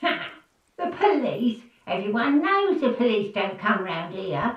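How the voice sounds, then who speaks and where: In a put-on character voice, a female-sounding speaker cackles at a fairly slow pace, her fairly high pitch swinging very widely, with a slight echo. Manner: cackling, mocking.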